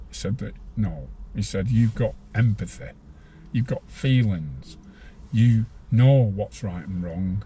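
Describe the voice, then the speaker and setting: A man's fairly low, dark and mellow voice, somewhat breathy, at a very slow pace with long, frequent pauses. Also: lively intonation. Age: 60s. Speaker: former prisoner. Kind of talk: interview.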